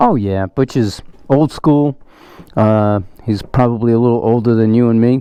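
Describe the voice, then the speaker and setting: Speaking at a moderate pace, a man uses a normal speaking voice of medium pitch with fairly even intonation and very even loudness. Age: 60s. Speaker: motorcycle enthusiast test-riding a bike. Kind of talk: casual chat.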